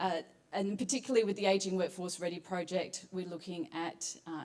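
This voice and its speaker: A woman with an Australian accent, a fairly low pitch and ordinary pitch variation. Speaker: psychologist, competition finalist. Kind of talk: presentation pitch.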